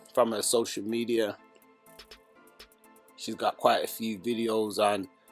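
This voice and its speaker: A man's voice over music in the background. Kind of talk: casual talk to camera.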